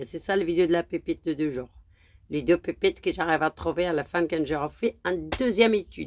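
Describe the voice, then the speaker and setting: A woman at a moderate pace with lively intonation, in a dry, close sound with no echo and a very clean recording with a silent background. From Morocco. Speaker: horse racing tipster. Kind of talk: casual vlog monologue; angry rant at critics. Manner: halting, many hesitations.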